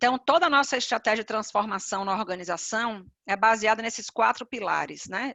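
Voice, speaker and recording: Talking fairly quickly, a woman uses ordinary pitch variation. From Bahia, Brazil (Salvador). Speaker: HR executive, panelist. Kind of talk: webinar presentation.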